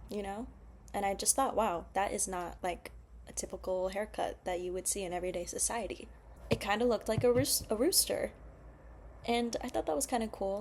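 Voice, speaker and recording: In a soft-spoken, calm tone with an American accent, the speaker goes at a fairly quick pace. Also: woman. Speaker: vlogger. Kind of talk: casual monologue. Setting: at home at midnight. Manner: quiet, soft-spoken; sleepy, calm.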